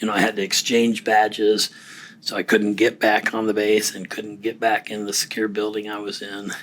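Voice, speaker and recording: At a fairly quick pace, a man talks with a fairly low pitch and monotone, flat intonation. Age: 60s. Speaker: recently retired defense worker and client. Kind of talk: casual interview conversation. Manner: halting.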